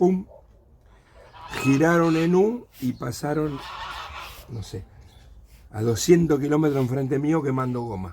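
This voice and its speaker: Speaking fairly slowly, a man uses a fairly high pitch with ordinary pitch variation. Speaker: witness sharing memories. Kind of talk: testimony.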